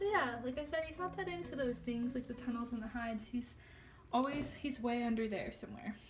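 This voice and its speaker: High-pitched and fairly quick, a woman talks with ordinary pitch variation. Audible room echo and noticeable background noise surround her voice. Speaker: pet youtuber. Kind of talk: casual vlog tour. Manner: loud; chatty, many fillers.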